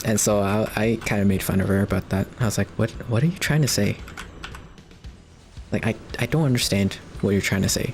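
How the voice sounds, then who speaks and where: A fairly quick voice in a Canadian accent, with long, frequent pauses and music in the background. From Canada. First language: Cantonese. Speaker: video game streamer. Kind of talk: casual chat. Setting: live stream. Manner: rambling, many fillers.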